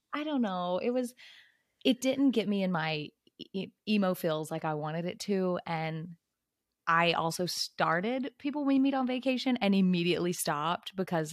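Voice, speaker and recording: In a dry, close recording with no echo, a woman with an unremarkable speaking voice talks at a fairly low pitch with lively intonation. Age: 20s. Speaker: book club podcast co-host. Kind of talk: casual chat.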